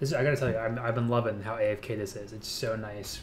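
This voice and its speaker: Somewhat breathy, a man talks at a very fast pace with audible room echo. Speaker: gaming YouTuber. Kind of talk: gameplay commentary. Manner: casual, with fillers.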